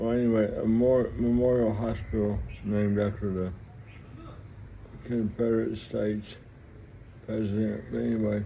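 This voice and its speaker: A man with an American accent speaks in a fairly low, monotone, flat voice at a moderate pace. Long, frequent pauses break up his speech, and audible room echo surrounds it. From US South, Mississippi (Vicksburg). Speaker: vlogger telling life story. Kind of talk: personal storytelling monologue. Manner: halting, rambling with repetitions.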